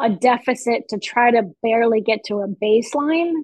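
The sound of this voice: A woman speaks at a fairly high pitch with ordinary pitch variation and a slightly mellow tone. The sound is dry and close with no echo, and the pace is fairly slow.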